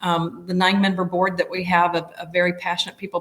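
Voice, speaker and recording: This woman talks at a fairly quick pace with a medium pitch. Her voice is somewhat breathy. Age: 60s. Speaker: nonprofit executive director. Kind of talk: interview conversation. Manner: halting.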